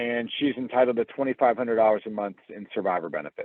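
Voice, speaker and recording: A plain, everyday voice from a man with an American accent, medium-pitched, with ordinary pitch variation and a fairly quick pace. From US Midwest, Cincinnati, Ohio. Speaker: financial presenter. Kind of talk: webinar presentation. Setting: online video webinar. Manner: conversational, lively.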